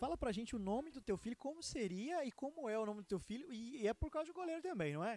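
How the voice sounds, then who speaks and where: A man speaks at a very fast pace with an extremely high pitch. His pitch swings very widely. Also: hardly any pauses, dry, close sound with no echo. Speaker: podcast host. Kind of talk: casual interview.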